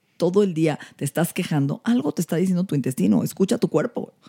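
With a dark, mellow tone and a fairly low pitch, a woman speaks with lively intonation. The sound is dry and close, with no echo. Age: 50s. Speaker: anti-aging medicine doctor. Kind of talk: casual chat.

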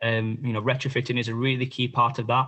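A man is speaking at a moderate pace. His pitch is medium. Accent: South Yorkshire. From northern England, Barnsley, South Yorkshire. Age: 20s. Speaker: political candidate. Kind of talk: podcast interview.

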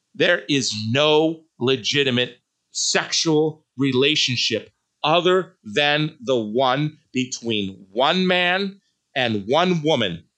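Very slow and very even in loudness, this man's fairly high-pitched voice carries lively intonation. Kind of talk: solo podcast commentary with prayer; angry rant, fiery sermon-like denunciation of the Vatican document. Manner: indignant, emphatic, repeating words for punch, insistent, raised-voice delivery; formal, devout.

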